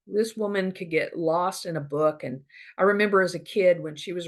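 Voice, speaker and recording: Her pitch fairly low, a woman talks with ordinary pitch variation. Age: 50s. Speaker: podcaster on family history. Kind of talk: casual monologue. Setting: Zoom recording. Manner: conversational, many fillers.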